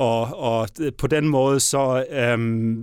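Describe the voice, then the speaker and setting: A man's voice at medium pitch with ordinary pitch variation, on a very clean recording with a silent background. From Southern Jutland, Denmark. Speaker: mayor and politician. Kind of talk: interview. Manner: halting, many fillers.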